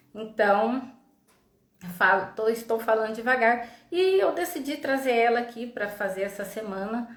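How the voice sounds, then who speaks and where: A woman's voice comes with audible room echo. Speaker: psychologist, live stream host. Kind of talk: live stream talk. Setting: online live stream. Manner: slow. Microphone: unstable internet connection.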